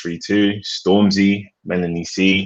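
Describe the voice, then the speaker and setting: Monotone and flat, a man speaks in a British accent. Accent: British accent, kept. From England, London. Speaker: music producer. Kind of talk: interview.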